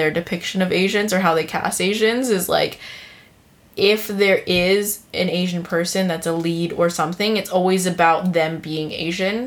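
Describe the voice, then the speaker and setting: A woman with an American accent speaks at a fairly slow pace in a plain, everyday voice, her medium pitch showing ordinary pitch variation. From United States. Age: 20s. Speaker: podcast host, new mother. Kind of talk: casual chat.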